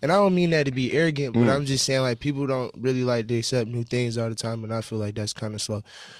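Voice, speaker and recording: Over a quiet background, a man talks at a very fast pace with hardly any pauses and ordinary pitch variation, the sound dry with no echo. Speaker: guest. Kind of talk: interview answer. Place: studio. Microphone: studio mic.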